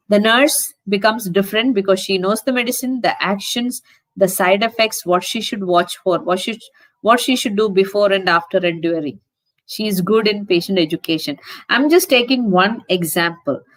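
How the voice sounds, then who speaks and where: With a normal speaking voice, a woman talks at a moderate pace, her medium pitch showing ordinary variation. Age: 60s. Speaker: nurse educator. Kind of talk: conference talk.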